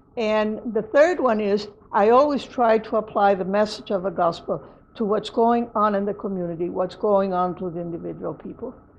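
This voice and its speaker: A woman with a Spanish accent speaks at a moderate pace in a medium pitch. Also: ordinary pitch variation. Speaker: lay preacher. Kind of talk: interview reflection. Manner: halting, with false starts.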